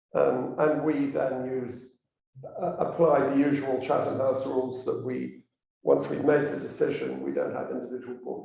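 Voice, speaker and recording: A man speaks at a moderate pace, with audible echo from the room. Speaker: elected commons conservator. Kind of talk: public talk. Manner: halting.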